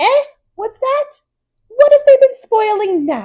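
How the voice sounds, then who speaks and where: Putting on a squeaky character voice, a woman talks at a fairly slow pace at an extremely high pitch with very wide pitch swings. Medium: read story. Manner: scolding, sharp.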